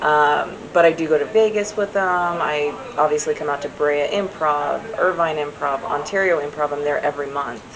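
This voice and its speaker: Speech at a moderate pace with ordinary pitch variation comes through over noticeable background noise. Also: woman, very deep, low pitch for a woman. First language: American Sign Language. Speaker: sign language interpreter. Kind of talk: casual interview. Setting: comedy club after a show.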